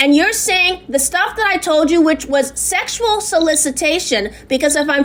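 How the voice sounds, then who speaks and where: A woman speaks at a moderate pace in a high voice with lively intonation. Noticeable background noise runs behind her. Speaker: complainant. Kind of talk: phone complaint. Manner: loud; halting.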